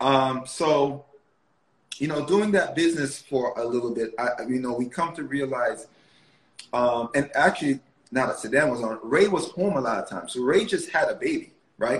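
A man's fairly high-pitched, unremarkable speaking voice, moderate in pace, with ordinary pitch variation. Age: 30s. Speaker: media producer and entrepreneur. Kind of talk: casual interview.

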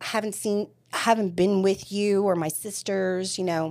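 Here is a woman with an ordinary speaking voice at medium pitch. She talks at a moderate pace in a very clean recording with a silent background. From Staten Island, New York. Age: 40s. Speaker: recovering addict sharing her story. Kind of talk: interview testimony.

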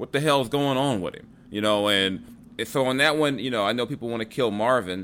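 A man with an American accent has a plain, everyday voice at a medium pitch. He speaks at a fairly quick pace with ordinary pitch variation. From Los Angeles, US West Coast. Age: 40s. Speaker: sports podcast host. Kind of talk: casual chat.

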